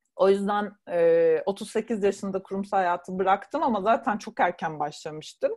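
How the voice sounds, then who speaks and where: Over a quiet background, a woman talks at a fairly slow pace with hardly any pauses, in a normal speaking voice at medium pitch with ordinary pitch variation. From Turkey, Burdur. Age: 40s. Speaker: travel writer and blogger. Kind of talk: casual interview.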